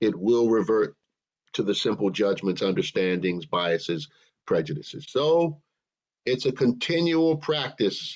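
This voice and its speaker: Speaking at a fairly slow pace, a man with an unremarkable speaking voice uses lively intonation at a medium pitch. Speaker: minister. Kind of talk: sermon delivered to a congregation.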